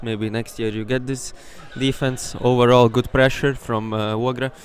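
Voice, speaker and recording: The voice has a Latvian accent, heard against noticeable background noise. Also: man. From Latvia, Ogre. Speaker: sports commentator. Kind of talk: live commentary. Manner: animated.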